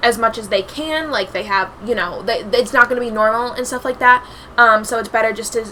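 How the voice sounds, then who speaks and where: A woman talks at a fairly quick pace in a fairly high pitch. Noticeable background noise runs underneath. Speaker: YouTuber. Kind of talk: casual vlog commentary. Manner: filler-heavy, halting; fast.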